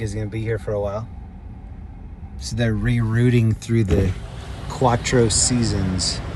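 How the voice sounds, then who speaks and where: Noticeable background noise sits behind a man who speaks at a fairly slow pace and a medium pitch. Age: 50s. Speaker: live streamer. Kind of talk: casual live-stream commentary while driving. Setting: in a car. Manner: animated.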